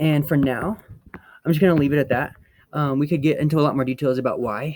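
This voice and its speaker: Speaking at a very fast pace, a man keeps his intonation fairly even. His voice sits fairly high. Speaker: physics teacher. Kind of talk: lecture. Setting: outdoors on apartment roof.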